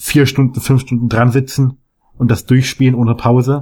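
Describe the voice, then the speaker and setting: At a moderate pace, a man speaks in a somewhat breathy voice at a medium pitch with monotone, flat intonation. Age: young. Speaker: gamer guest. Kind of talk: casual chat. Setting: remote call.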